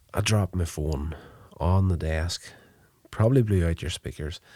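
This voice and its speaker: Here a man speaks at a moderate pace in a very deep, low pitch. His voice is somewhat breathy, with a dark, mellow tone. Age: 40s. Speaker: podcast host reviewing TV episodes. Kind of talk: solo episode review and recap. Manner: casual, with frequent filler 'uh'.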